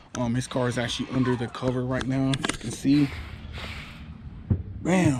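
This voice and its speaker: Noticeable background noise sits behind a man speaking at a moderate pace. His medium-pitched delivery has fairly even intonation and long, frequent pauses. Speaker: car channel host. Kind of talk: tutorial.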